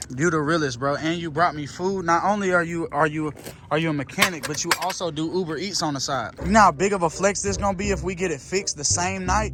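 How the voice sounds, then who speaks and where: With a fairly high pitch and ordinary pitch variation, a man talks at a very fast pace with hardly any pauses over noticeable background noise. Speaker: car vlogger. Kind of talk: casual vlog chat. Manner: animated.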